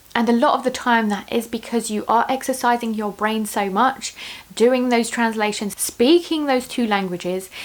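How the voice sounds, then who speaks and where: A woman keeps a moderate pace and ordinary pitch variation while noticeable background noise plays behind her. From Russia, moved between countries. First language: Russian. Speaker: YouTuber, parenting vlogger. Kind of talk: casual vlog talk to camera. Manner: animated.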